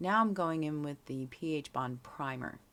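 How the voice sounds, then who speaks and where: A woman speaks very slowly in a very deep, low pitch, on a very clean recording with a silent background. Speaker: DIY nail art video maker. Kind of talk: tutorial voiceover. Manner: casual with filler words.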